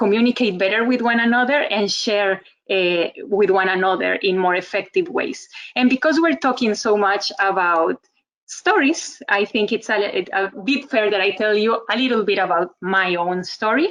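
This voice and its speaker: Speaking at a moderate pace in a Costa Rican accent, a woman with a fairly high pitch uses lively intonation and very even loudness. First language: Spanish. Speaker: communication trainer, webinar speaker. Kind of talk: webinar presentation.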